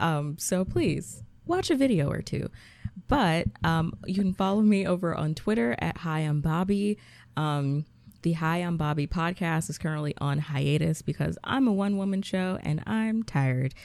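A woman with an American accent has a normal speaking voice, a fairly low pitch and lively intonation at a moderate pace, in a very clean recording with a silent background. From US South, Georgia. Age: 20s. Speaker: podcaster and social media creator. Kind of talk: casual chat.

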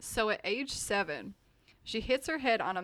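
The speaker reads the text aloud in a natural voice.

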